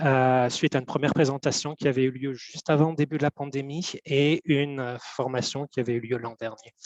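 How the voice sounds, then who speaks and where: A man speaks fairly quickly with hardly any pauses, his voice fairly high. His intonation is monotone and flat, in a dry, close sound with no echo. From Belgium. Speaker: government cultural data analyst. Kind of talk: webinar presentation. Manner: hesitant, many fillers.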